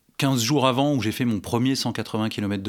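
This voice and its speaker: Speaking at a fairly slow pace, a man has an unremarkable speaking voice. The recording is very clean and the background silent. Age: 40s. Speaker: amateur triathlete. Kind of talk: casual chat.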